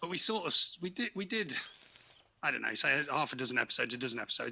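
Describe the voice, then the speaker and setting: With an English accent, a man speaks at a very fast pace. His fairly high voice has a bright, sharp tone. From England, Peterborough. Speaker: podcast co-host, guest. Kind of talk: casual chat.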